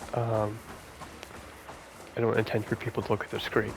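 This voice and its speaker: A soft-spoken voice with a monotone, flat intonation comes through over noticeable background noise. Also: man. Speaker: gaming ASMR creator. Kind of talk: casual gameplay commentary. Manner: halting, many fillers and repeats.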